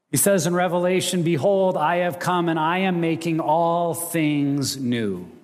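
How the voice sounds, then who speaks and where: Amid audible room echo, a man with an American accent speaks fairly slowly at a high pitch, keeping fairly even intonation and very even loudness. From Montana and Wyoming, US. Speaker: ministry director and guest preacher. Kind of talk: sermon. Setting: church stage with audience.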